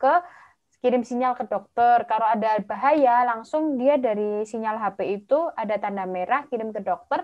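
In a cheerful tone, a woman with a fairly high voice speaks at a moderate pace with ordinary pitch variation over a quiet background. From Java, Indonesia. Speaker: medical doctor and master's student; webinar presenter. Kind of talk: online presentation. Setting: video call livestream. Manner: chatty, talkative; cheerful, laughs often. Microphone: video call.

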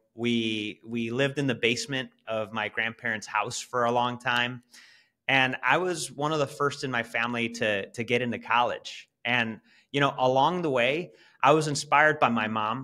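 Against a quiet background, a man speaks with a bright, sharp tone. His intonation is fairly even and his pace moderate. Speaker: podcast guest. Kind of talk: interview answer. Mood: warm, reflective storytelling. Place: home room. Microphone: video call.

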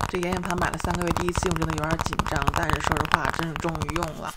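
A woman speaks at a very fast pace with a fairly low pitch. Loud background noise runs behind her. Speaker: ASMR creator. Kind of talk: makeup tutorial talking to camera. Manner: normal speaking voice, not whispered. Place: home room. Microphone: studio mic.

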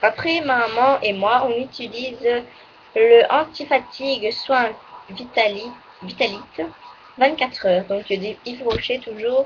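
Over light background noise, a woman speaks at a very slow pace in a high voice with ordinary pitch variation and long, frequent pauses. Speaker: beauty vlogger. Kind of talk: casual monthly favourites video. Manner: halting, full of fillers. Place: home room. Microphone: webcam.

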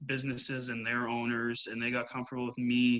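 A man with a Canadian Prairies accent speaks at a medium pitch in a bright, sharp tone. His intonation is monotone and flat, over a quiet background. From Canada, Winnipeg, Manitoba. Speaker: women's hockey coach; hockey coach being interviewed. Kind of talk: interview. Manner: hesitant, many fillers. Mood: relaxed, conversational. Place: home room. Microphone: video call.

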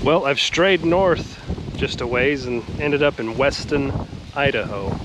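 A man is speaking amid noticeable background noise. The sound is dry, with no echo. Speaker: travel vlogger. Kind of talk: casual vlog commentary. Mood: curious, relaxed. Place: street. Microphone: phone near.

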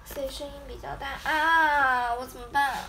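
Noticeable background noise sits behind a raised, projected voice that moves at a fairly slow pace. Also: woman. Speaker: idol group member; idol livestreamer. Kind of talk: casual livestream chat. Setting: livestream from her bedroom. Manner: animated. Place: home room. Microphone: phone near.

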